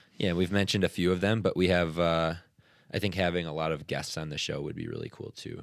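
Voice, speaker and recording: At a very fast pace, a man talks in a very deep, low voice with fairly even intonation. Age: 20s. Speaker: podcast co-host, CrossFit athlete. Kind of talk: casual chat.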